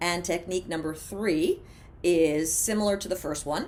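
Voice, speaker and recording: A woman with an American accent speaks in a normal speaking voice, her pitch fairly low. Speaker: former radio DJ, TV host and mindfulness coach. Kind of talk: instructional mindfulness talk to camera. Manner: casual, conversational, humorous.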